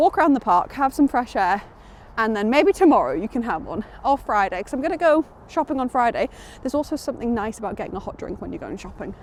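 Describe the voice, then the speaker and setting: Talking very fast in a Geordie accent, a woman uses a high voice with very wide pitch swings. Her loudness swings a lot too. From northern England, Newcastle area (Geordie). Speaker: book vlogger. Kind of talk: casual vlog. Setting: outdoors on a walk.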